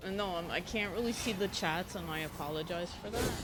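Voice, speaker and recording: Soft-spoken and fairly low-pitched, a woman speaks at a moderate pace with fairly even intonation, audible room echo and noticeable background noise. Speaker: gaming streamer. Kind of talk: casual gameplay commentary. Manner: quiet, not loud.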